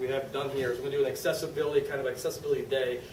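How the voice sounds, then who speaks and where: A man rushes along at a very fast pace, with audible room echo and noticeable background noise around him. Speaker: university accessibility committee co-chair. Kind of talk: conference presentation.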